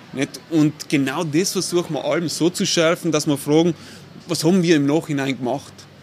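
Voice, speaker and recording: Through noticeable background noise, a man with a fairly high pitch talks in fairly even intonation. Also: moderate pace. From South Tyrol, Italy (Bolzano). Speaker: architect and urban planner. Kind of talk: casual interview.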